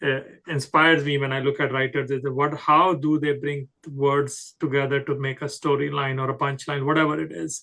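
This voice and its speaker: Speaking in a Punjabi accent, a man with a fairly high pitch and a bright, sharp tone talks at a moderate pace in a flat monotone. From Himalayan region of India. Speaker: podcast host and poet. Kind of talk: interview. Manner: halting, many fillers.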